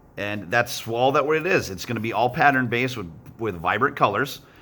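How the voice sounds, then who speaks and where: Bright and sharp in tone, a man's voice comes through. He uses lively intonation. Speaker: art teacher. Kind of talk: tutorial. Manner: fast; casual, encouraging.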